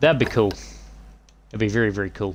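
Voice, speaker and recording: A man's fairly low, vocal-fry voice at a very fast pace with fairly even intonation. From New Zealand. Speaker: gaming streamer. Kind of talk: live gameplay stream chatting with viewers. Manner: casual, relaxed.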